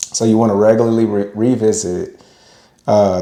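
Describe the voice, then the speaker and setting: Audible room echo surrounds a man speaking at a moderate pace. His fairly low voice stays monotone and flat. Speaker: podcast co-host with his wife. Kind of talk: casual podcast discussion. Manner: occasional stutter.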